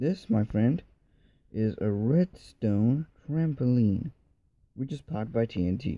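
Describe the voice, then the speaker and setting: A man's very slow, medium-pitched voice with lively intonation, a dark, mellow tone, long, frequent pauses and a dry, close sound with no echo. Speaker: gaming tutorial youtuber. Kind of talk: tutorial. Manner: halting.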